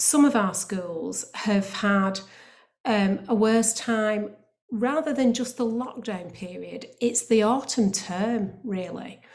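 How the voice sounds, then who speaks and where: Somewhat breathy, a woman speaks at a very slow pace in a fairly high pitch. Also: ordinary pitch variation. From northern England, Bolton. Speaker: academy trust chief executive. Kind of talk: panel presentation. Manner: hesitant, with frequent fillers.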